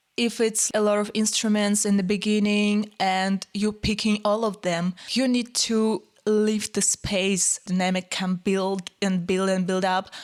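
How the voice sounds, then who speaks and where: A woman with a non-native accent speaks at a fairly slow pace in a medium pitch, her intonation monotone and flat, her loudness very even, with hardly any pauses. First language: not English. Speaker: pianist and music content creator. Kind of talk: music tutorial commentary. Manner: casual, informal.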